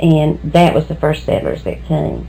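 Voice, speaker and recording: With an American accent, a woman talks at a moderate pace over music in the background. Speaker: local historian. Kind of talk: oral history interview.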